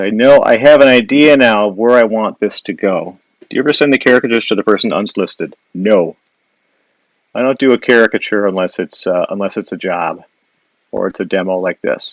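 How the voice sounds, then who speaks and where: A man at a fairly quick pace with a Wisconsin accent, dry and close with no echo. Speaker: illustrator and caricature artist. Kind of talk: live drawing demo with viewer Q&A. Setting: Instagram live stream. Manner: casual, with frequent fillers and restarts.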